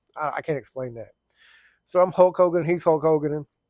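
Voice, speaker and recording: A fairly high-pitched man with an Oklahoma accent at a fairly quick pace. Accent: southern US (Oklahoma). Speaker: firefighter and plumber vlogger. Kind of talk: casual storytelling vlog. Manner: fast.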